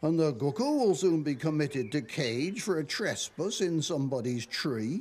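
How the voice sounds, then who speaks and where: A man speaks in a Dorset accent at a fairly slow pace. His pitch swings very widely. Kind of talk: poetry reading. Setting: television programme.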